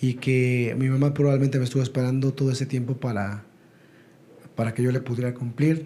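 A man talks at a fairly quick pace with a medium pitch. His delivery is somewhat breathy, with monotone, flat intonation. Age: 40s. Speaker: network marketing entrepreneur. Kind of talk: interview.

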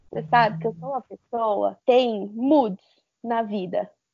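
The intonation in this clip is lively. It belongs to a woman. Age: 20s. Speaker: university student. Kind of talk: casual chat.

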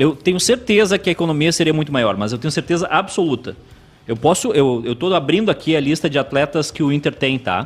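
Lively in intonation, a man with a fairly high pitch speaks in a southern Brazilian accent. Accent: gaúcho Brazilian Portuguese. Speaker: sports commentator. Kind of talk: live sports talk show.

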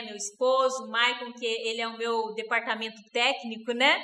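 A woman's bright, sharp tone comes through at a fairly slow pace, with audible room echo. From Rondônia, Brazil. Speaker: network marketing distributor. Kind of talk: interview.

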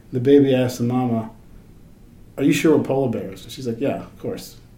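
Here a man's voice sits at a medium pitch. The room gives off audible echo around him. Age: 40s. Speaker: podcast host at a metal fabrication company. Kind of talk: casual chat.

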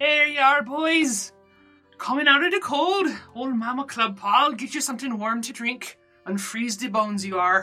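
A female-sounding put-on character voice, high-pitched and strained, talks at a moderate pace over faint background music. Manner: warm, fussing, motherly.

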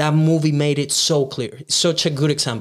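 A man with a Venezuelan accent, fairly high pitch and a moderate pace. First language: Spanish. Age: 20s. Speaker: videographer and content creator. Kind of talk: casual interview chat.

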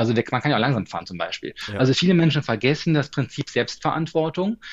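This man has a plain, everyday voice. He speaks at a fairly quick pace with a fairly high pitch. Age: 40s. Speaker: stress management coach and speaker. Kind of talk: interview.

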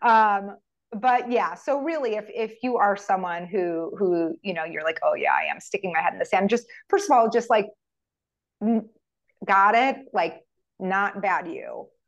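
With an American accent, a woman speaks fairly slowly at a fairly high pitch, with ordinary pitch variation and an unremarkable speaking voice. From United States. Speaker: functional medicine physician. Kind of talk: interview.

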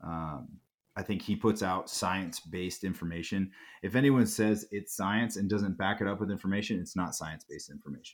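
On a very clean recording with a silent background, a man in an unremarkable speaking voice talks at a fairly quick pace, fairly low in pitch with ordinary pitch variation. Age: 30s. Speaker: nutrition coach. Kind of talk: casual interview.

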